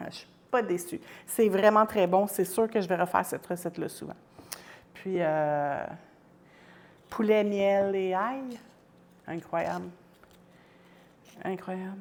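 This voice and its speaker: A woman's medium-pitched voice at a very slow pace, with ordinary pitch variation, big swings in loudness and long, frequent pauses. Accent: Quebec. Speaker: home cook livestreamer. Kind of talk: cooking livestream. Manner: animated.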